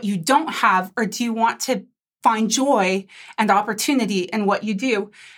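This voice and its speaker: A woman's voice with ordinary pitch variation. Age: 40s. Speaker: tech company CEO. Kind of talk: interview. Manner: halting.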